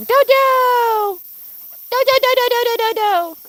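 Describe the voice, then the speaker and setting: The speaker has an American accent. Noticeable background noise runs through the clip. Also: woman. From mixed American and German. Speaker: pet goose keeper and livestreamer. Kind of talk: casual livestream chat. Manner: chatty with baby talk to animals.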